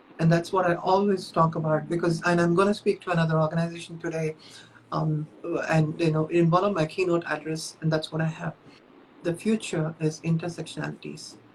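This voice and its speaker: Over noticeable background noise, a woman with a fairly low pitch speaks in a monotone, flat intonation. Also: fairly quick pace. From India, Chennai. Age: 50s. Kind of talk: interview.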